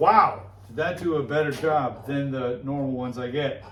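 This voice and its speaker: At a fairly slow pace, a man talks with audible room echo around him. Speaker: knifemaker hobbyist youtuber; military veteran. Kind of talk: workshop tutorial. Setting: workshop forge with earplugs in. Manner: loud; casual, filler-heavy.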